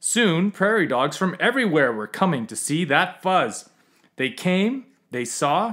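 A passage is being read aloud in a natural voice.

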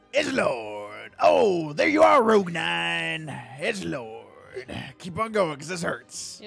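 A man in a put-on character voice, fairly high in pitch and fairly slow, with faint music in the background. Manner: edgy, brooding.

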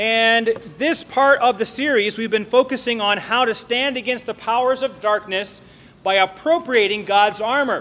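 A man speaks at an extremely high pitch with ordinary pitch variation. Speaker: preacher. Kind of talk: sermon. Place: church. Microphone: podium.

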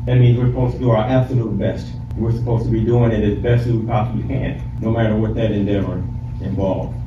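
A man talking very fast amid audible room echo and noticeable background noise. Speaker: preacher. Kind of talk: sermon. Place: hall. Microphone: camera far.

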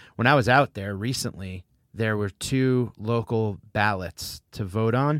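A man with an American accent and an unremarkable speaking voice at medium pitch speaks with ordinary pitch variation in a very clean, dry, close recording with a silent background and no echo. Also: fairly slow pace. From New Haven, Connecticut. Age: 40s. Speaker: comedian and podcast host. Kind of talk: sponsor read; casual chat.

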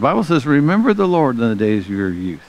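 In an American accent, a man talks at a fairly low pitch. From US South. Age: 60s. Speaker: pastor. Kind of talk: sermon. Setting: church. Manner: animated. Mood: earnest, blessing tone. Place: church.

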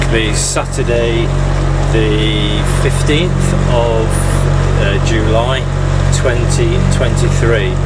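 A man is speaking. Loud background noise surrounds his voice. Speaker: canal boat vlogger. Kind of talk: casual vlog chat. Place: boat. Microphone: phone near.

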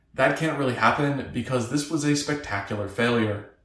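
Audible room echo surrounds a man talking at a fairly quick pace with ordinary pitch variation. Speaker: maker vlogger. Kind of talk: tutorial narration.

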